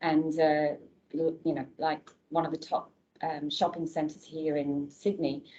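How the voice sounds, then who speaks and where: Here is a woman's voice. Her pitch is very deep and low. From England. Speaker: nurse recruitment director. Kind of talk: informational presentation. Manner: casual, conversational.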